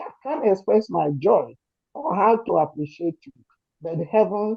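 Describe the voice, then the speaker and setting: Her intonation lively, a woman talks with a Nigerian accent. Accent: Nigerian Igbo English. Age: 70s. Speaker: community supporter speaking at rally. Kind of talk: emotional testimony. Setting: gathering with crowd, also on Zoom. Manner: shaky.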